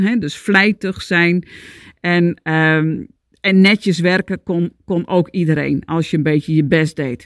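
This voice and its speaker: The speech moves at a fairly slow pace with ordinary pitch variation, a dry, close sound with no echo, and a quiet background. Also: woman. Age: 50s. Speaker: podcast host, Chinese medicine coach. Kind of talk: solo monologue, self-help talk. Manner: animated.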